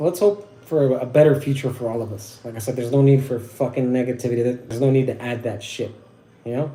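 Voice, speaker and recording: A man with an American accent talks at a very fast pace in a dark, mellow, somewhat breathy tone with ordinary pitch variation, and audible room echo surrounds him. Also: medium pitch for a man. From Southern California. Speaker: wet-shaving livestreamer. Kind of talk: casual livestream talk. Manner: halting, stuttering.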